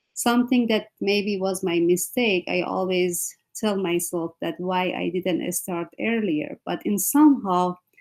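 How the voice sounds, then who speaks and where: Speaking at a fairly slow pace with a non-native accent, the voice shows ordinary pitch variation. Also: woman, medium pitch for a woman. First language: not English. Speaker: panelist, educator. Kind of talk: panel discussion. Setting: video call.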